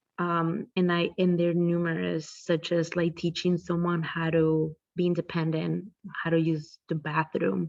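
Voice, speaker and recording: A woman speaks in a monotone at a fairly low pitch, with a non-native accent. Her pace is fairly slow and her loudness very even. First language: not English. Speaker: behavior analyst. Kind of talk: interview. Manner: halting.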